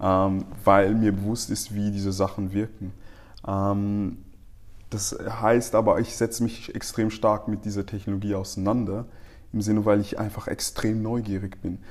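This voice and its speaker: A man with a fairly low pitch talks in monotone, flat intonation, keeping a moderate pace. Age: 30s. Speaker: marketing specialist. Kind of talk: casual interview.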